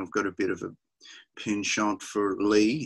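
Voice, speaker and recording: A man with an Australian accent speaks at a fairly slow pace in a fairly low pitch against a quiet background. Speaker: rock musician; interviewee. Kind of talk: interview. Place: home room. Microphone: webcam.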